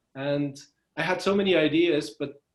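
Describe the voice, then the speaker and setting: Speaking with a Belgian accent, a man with a fairly high pitch uses ordinary pitch variation. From Belgium. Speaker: freelancer. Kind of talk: interview. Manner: hesitant, many fillers.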